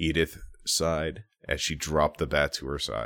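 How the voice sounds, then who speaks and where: An American man with a very deep, low voice talks fairly slowly, the sound dry and close with no echo on a very clean recording with a silent background. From Minnesota. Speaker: podcast co-host. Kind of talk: improvised storytelling.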